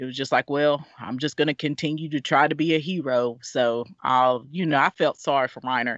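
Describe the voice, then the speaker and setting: With an American accent, a woman speaks at a moderate pace in a very deep, low pitch, her intonation fairly even. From US South (Alabama). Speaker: staff writer. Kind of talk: casual podcast discussion.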